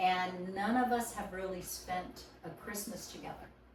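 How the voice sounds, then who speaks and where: Over noticeable background noise and audible room echo, a woman speaks at a medium pitch with ordinary pitch variation. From Hawaii. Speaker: podcast guest. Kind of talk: casual chat.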